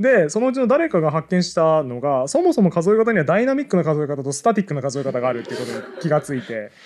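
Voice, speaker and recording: His pitch swings very widely. This man speaks very fast. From Hokkaido, Japan. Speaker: podcast co-host. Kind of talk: live audience recording, casual chat. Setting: public recording with small audience. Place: studio. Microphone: headset.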